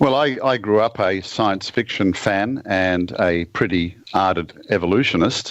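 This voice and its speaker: Talking in an Australian accent, a man keeps a fairly low pitch and very even loudness. His pace is fairly slow, with hardly any pauses. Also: ordinary pitch variation. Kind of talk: podcast interview.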